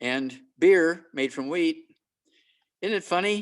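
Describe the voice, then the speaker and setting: Ordinary pitch variation accompanies a fairly slow pace. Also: man. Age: 80s+. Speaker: health lecturer and naturopathic doctor. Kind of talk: presentation with Q&A on a video call. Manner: animated.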